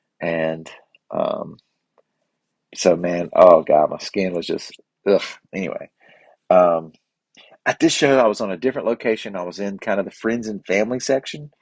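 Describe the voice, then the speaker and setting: In a dry, close sound with no echo, a man speaks with long, frequent pauses. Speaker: podcast host. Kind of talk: casual monologue. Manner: fast; halting.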